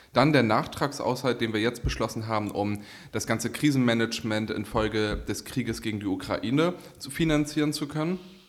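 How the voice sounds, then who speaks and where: The man's pitch is medium, with ordinary variation. His pace is fairly quick. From northern Germany, Kiel. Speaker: politician and podcast co-host. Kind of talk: casual chat.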